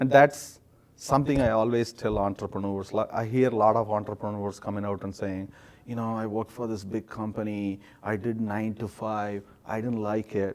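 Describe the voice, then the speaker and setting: In an Indian accent, a man speaks at a moderate pace with a fairly low pitch and monotone, flat intonation. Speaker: startup founder. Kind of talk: interview. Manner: halting, many fillers.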